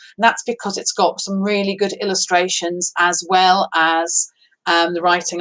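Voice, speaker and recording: With a northeast English accent, a woman speaks at a moderate pace in a bright, sharp tone. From northeast England. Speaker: primary school teacher. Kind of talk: casual chat to pupils, then reading aloud.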